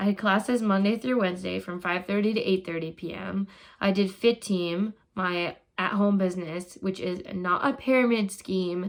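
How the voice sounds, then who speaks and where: With an American accent and a plain, everyday voice, a woman speaks at a moderate pace and medium pitch with fairly even intonation, in a very clean recording with a silent background. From Minnesota. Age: 20s. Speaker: graduate student vlogger. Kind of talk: personal vlog monologue.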